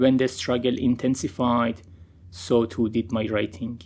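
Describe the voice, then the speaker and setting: Speaking at a very slow pace, a man keeps a medium pitch and fairly even intonation. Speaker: poet. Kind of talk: poetry reading.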